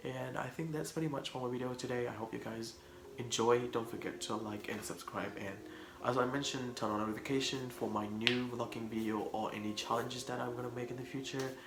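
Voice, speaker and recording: A man of medium pitch talks at a fairly quick pace, with audible room echo and noticeable background noise. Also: fairly even intonation. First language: Khmer. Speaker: vlogger. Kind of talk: casual vlog talk to camera.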